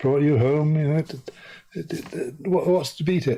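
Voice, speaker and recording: With an English accent, a man speaks at a fairly high pitch. His pace is fairly quick, with ordinary pitch variation. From Guyana. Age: 70s. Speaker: journalist and author. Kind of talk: interview. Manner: halting, stammers.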